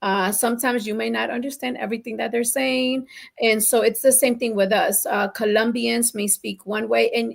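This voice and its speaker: A woman speaks at a fairly quick pace with a fairly high pitch. Her voice carries vocal fry. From Colombian family, raised in New Jersey/New York. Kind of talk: casual talk show conversation.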